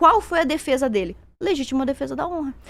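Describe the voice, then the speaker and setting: A woman talks at a fairly quick pace in a high pitch. Her voice makes very wide pitch swings. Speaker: conservative debater. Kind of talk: heated debate. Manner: fast.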